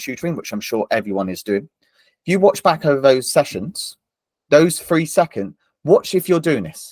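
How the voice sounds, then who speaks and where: At a moderate pace, a man with a plain, everyday voice speaks in a fairly high pitch with lively intonation, and the sound is dry and close with no echo. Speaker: tutor and former maths teacher. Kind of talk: online training webinar.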